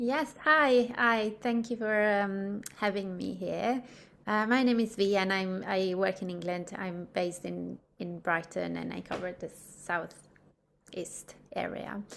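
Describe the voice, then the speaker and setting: In an Italian accent, the speaker talks at a fairly slow pace with ordinary pitch variation. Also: woman, medium pitch for a woman. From Italy. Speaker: midwife. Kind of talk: interview. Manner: hesitant, many fillers.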